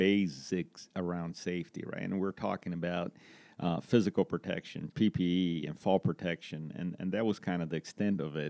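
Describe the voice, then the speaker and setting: A man with a Brazilian accent speaks at a moderate pace with a very deep, low pitch. The sound is dry and close with no echo, over a quiet background. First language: Portuguese. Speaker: construction safety manager. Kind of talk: interview. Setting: in-person at an office.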